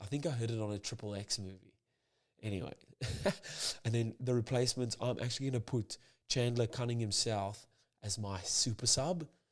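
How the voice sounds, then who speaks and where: A man whispering quietly at a fairly quick pace with long, frequent pauses, on a very clean recording against a silent background. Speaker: rugby commentator / pundit. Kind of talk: casual rugby preview talk to camera. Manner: quiet, almost whispered.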